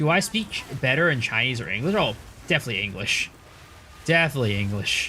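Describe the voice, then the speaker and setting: A man talks very fast with an American accent. His pitch swings very widely. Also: medium pitch for a man. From United States. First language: Cantonese. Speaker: video game streamer. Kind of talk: live stream chat.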